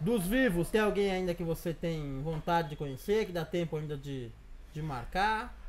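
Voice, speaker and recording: Light background noise sits under a man speaking at a moderate pace. His pitch is high, with ordinary variation. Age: 30s. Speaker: blog interviewer. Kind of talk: interview. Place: home room. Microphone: lapel.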